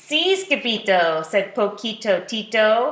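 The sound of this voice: An unforced reading voice carries the clip.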